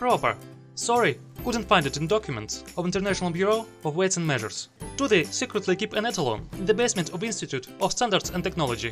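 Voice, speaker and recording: Very fast speech with a non-native accent and very wide pitch swings, over music in the background. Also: man, high pitch for a man. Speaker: video essayist. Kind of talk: argumentative video essay commentary.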